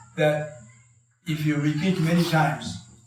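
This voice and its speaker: Over music in the background and audible room echo, the speech comes in a monotone with flat intonation. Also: man. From Japan. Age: 80s+. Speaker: karate master. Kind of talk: talk to an audience. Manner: halting, many fillers.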